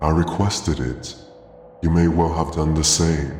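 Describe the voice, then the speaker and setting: Putting on a character voice, a man speaks hoarse and raspy in a very deep, low pitch at a moderate pace, with a clear echo. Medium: read story. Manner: slow, sorrowful.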